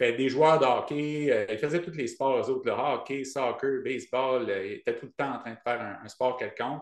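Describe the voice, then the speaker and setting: A man speaks in an Acadian accent. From Acadian New Brunswick, Canada. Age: 40s. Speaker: ultrarunner and running coach. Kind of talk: podcast interview. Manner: hesitant, many fillers.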